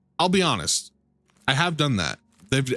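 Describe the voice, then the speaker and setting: On a very clean recording against a silent background, the voice carries vocal fry. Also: man. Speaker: video game streamer. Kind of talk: live gameplay commentary. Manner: casual, joking.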